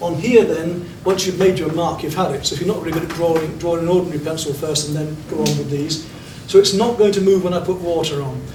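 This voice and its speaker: A man with a British accent speaks at a fairly quick pace, his pitch high for a man and his intonation fairly even. Noticeable background noise and audible room echo surround him. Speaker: art teacher. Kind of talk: art class demonstration. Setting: classroom with students. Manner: fast.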